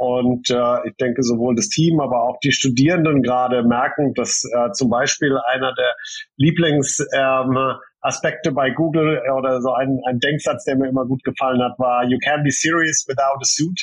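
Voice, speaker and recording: Medium in pitch, a man talks with very even loudness. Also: moderate pace. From Germany (Heidelberg). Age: 40s. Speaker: coding school director. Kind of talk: interview. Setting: remote call from home. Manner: hesitant with many fillers.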